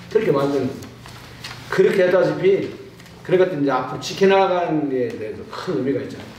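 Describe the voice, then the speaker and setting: Amid audible room echo and noticeable background noise, a man talks at a very fast pace with lively intonation and long, frequent pauses. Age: 70s. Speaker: truck driver and union veteran. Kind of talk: panel discussion. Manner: casual, conversational.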